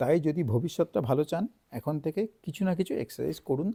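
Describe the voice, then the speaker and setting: Lively intonation carries a dark, mellow tone in a dry, close sound with no echo. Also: man. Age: 40s. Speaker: doctor. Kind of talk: health advice talk.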